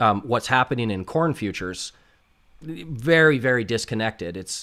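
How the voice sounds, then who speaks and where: An unremarkable speaking voice from a man at medium pitch, with lively intonation at a moderate pace, in a very clean recording with a silent background. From Canada. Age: 40s. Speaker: options trader. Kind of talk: livestream Q&A. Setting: livestream. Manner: casual, filler-heavy.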